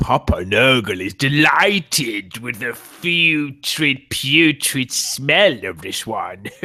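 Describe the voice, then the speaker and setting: Putting on a character voice, a man talks at a medium pitch and a very slow pace with hardly any pauses. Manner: delighted, gleeful.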